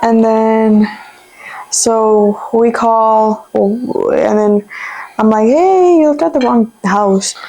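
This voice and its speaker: A woman with a Spanish accent speaks at a very slow pace in a fairly high pitch. Her loudness stays very even, with ordinary pitch variation. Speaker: YouTuber. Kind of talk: casual chat.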